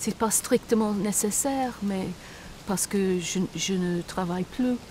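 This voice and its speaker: Very slow female speech with ordinary pitch variation. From Britain. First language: English (speaking French). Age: old. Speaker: retiree seeking citizenship. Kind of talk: interview. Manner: halting.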